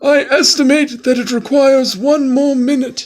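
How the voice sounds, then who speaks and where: This put-on character voice is high-pitched and moves at a moderate pace. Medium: read story. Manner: clear and formal.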